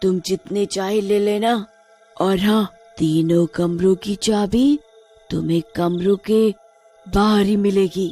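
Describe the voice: A cartoonish character voice at a middle pitch goes along very slowly with long, frequent pauses as faint music plays in the background.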